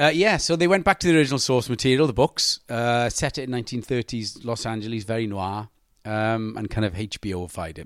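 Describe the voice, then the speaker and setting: On a very clean recording with a silent background, a man with a Welsh accent speaks at medium pitch and a fairly quick pace, with very wide pitch swings. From Wales. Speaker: actor. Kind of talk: casual chat.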